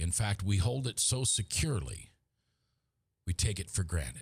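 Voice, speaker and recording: In a very clean recording with a silent background, a man with an American accent speaks slowly in a somewhat breathy, fairly low voice with lively intonation. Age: 50s. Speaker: talk show host. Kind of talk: opinion monologue. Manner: impassioned.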